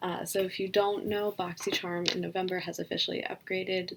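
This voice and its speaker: A woman speaks quietly. Her pace is moderate. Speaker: beauty vlogger. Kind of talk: unboxing vlog. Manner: low energy.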